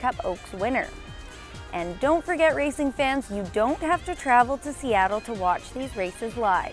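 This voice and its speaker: A woman's high-pitched voice with very wide pitch swings over music in the background. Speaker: track announcer / racing reporter. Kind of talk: TV news-style report.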